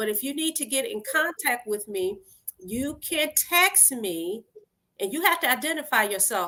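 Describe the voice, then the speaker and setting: Projecting a raised voice with a high pitch, a woman speaks in an American accent at a moderate pace, her bright, sharp tone animated and her pitch swinging very widely. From Detroit, US. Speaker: lawyer and judicial candidate. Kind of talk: interview. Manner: loud when excited.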